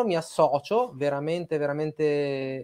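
The background is quiet. A man is the one talking. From northern Italy (Piedmont, Domodossola); Piedmont, Italy. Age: 30s. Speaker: music journalist, live stream host. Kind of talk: live stream interview. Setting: studio, video call with guests. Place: home room. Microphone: webcam.

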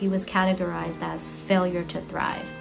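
Clear music plays in the background as a woman talks at a moderate speed. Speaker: parent vlogger. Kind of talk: casual vlog chat. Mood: earnest, informative. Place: home room. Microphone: phone near.

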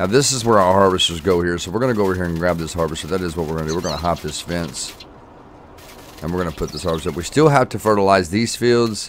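A man with a very deep, low pitch speaks very fast with ordinary pitch variation amid noticeable background noise. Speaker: gaming YouTuber. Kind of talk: casual gameplay commentary. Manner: animated, enthusiastic.

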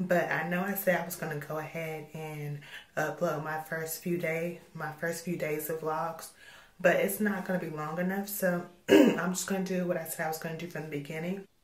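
Against noticeable background noise, a woman speaks at a fairly low pitch. Her intonation is monotone and flat, and her pace is moderate. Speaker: vlogger. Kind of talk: vlog. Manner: casual.

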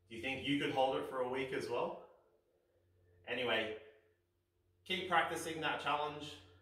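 A man at a fairly high pitch and moderate pace, with ordinary pitch variation and audible room echo. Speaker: fitness instructor. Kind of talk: instructional kids' exercise video. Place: home room.

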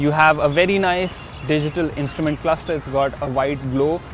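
A man talks at a moderate pace. Music plays behind him, and the sound is dry with no echo. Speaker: motorcycle reviewer. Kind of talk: product review presentation. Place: open country.

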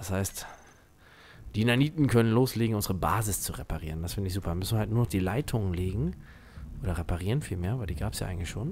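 This man talks very fast with lively intonation, leaving long, frequent pauses. His voice is fairly low and somewhat breathy. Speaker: gaming YouTuber. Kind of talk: let's play commentary. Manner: animated.

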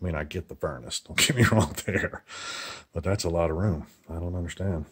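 A man's very deep, low, somewhat breathy voice at a fairly quick pace, with ordinary pitch variation and a quiet background. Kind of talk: casual home tour commentary. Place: empty room. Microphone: phone near.

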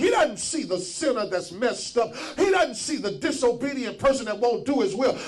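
Music plays in the background as a man shouts at an extremely high pitch, his tone animated and his intonation lively. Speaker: preacher. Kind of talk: sermon. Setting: church. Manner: call-and-response, urging the congregation to shout back. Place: church. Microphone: handheld.

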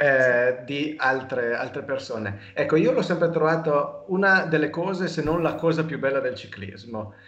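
A man's fairly high voice with hardly any pauses, plus audible room echo. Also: lively intonation, moderate pace. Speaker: cycling podcast host. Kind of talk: casual interview. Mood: warm, enthusiastic about cycling. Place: home room. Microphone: video call.

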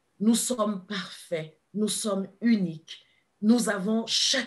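This woman talks very slowly. Her voice is somewhat breathy and fairly high in pitch. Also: quiet background. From Ivory Coast. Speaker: kinesiologist and therapist; guest. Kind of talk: interview. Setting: live video stream. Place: home room. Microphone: video call.

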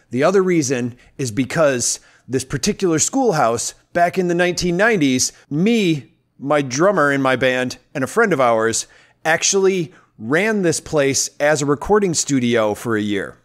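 A man's fairly slow, lively-toned speech against a quiet background. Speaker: podcast host. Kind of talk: podcast intro, casual talk. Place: home room. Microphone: studio mic.

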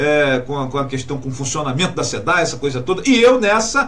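Speaking at a very fast pace, a man swings his pitch very widely. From Brazil, Rio de Janeiro state. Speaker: radio host. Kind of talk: radio talk show interview. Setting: radio studio. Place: studio. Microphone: studio mic.

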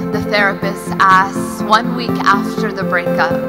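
A woman speaks at a fairly slow pace. Loud music plays in the background. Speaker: poet. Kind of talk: poetry reading. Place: stage. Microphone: studio mic.

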